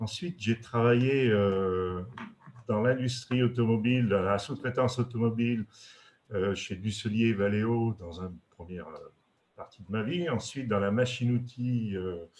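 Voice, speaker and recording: A man with a medium pitch and ordinary pitch variation speaks at a fairly slow pace, with big swings in loudness. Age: 60s. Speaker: retired industrial executive. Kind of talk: webinar presentation. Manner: halting, many hesitations.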